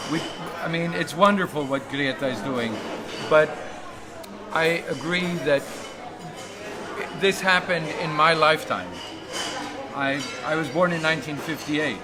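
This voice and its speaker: Over crowd noise and audible room echo, a man with a fairly high pitch and ordinary pitch variation speaks with long, frequent pauses. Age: 60s. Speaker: climate activist livestreamer. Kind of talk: interview. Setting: outdoors at a conference.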